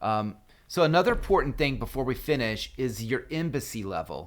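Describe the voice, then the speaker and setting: On a very clean recording with a silent background, a man with a plain, everyday voice speaks at a medium pitch and moderate pace with lively intonation. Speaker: gaming guide youtuber. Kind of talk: tutorial.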